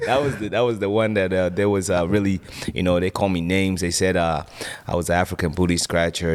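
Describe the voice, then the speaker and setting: A man with a very deep, low pitch speaks at a very fast pace with very even loudness and fairly even intonation, over noticeable background noise. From Sierra Leone, moved to US as child in 2000. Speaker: preacher and former drug dealer. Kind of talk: testimony. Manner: casual, many fillers.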